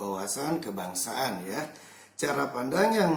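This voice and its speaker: A man at a fairly slow pace, very wide pitch swings, audible room echo. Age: 20s. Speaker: primary school teacher. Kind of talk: interview answers.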